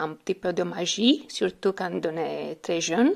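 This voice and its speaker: A woman with a fairly low pitch speaks in a Romanian accent. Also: very clean recording, silent background. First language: Romanian (speaking French). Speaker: French learner. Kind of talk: recorded testimony. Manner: halting, with hesitations.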